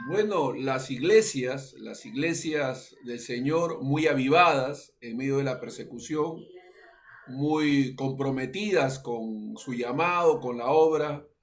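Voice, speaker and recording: The speech moves at a very slow pace with ordinary pitch variation. Loudness swings a lot, and room echo is audible. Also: man, fairly high pitch for a man. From Peru. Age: 60s. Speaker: pastor. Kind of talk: interview. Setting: radio interview. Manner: halting, many fillers.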